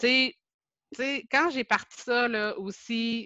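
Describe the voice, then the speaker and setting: A woman speaks in a Quebec accent with a bright, sharp tone and ordinary pitch variation, recorded with a dry, close sound with no echo against a quiet background. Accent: Québécois French. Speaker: Facebook group administrator, teacher. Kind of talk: casual interview.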